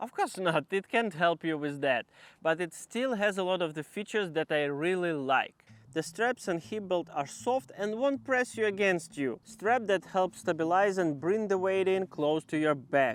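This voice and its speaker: A man with a Ukrainian accent talks at a high pitch with lively intonation. His moderate pace comes through in a dry, close sound with no echo. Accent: Ukrainian, self-described as horrible. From Ukraine. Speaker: outdoor gear reviewer. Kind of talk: product review.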